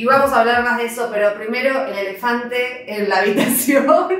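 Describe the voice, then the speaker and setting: There is noticeable background noise as a woman talks at a moderate pace. Her pitch is high, with ordinary pitch variation. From Argentina. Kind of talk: casual talk to camera.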